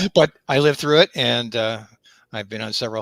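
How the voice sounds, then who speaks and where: His voice carries vocal fry. The recording of this man is very clean, with a silent background. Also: dry, close sound with no echo. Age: 70s. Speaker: amateur radio operator. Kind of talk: casual chat. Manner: halting.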